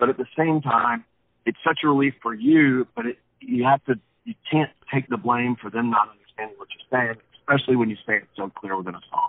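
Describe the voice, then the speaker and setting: A man talks at a fairly quick pace in a normal speaking voice, his pitch medium with ordinary variation. His loudness swings widely. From Wilmington, North Carolina. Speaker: rock singer-songwriter. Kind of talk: interview.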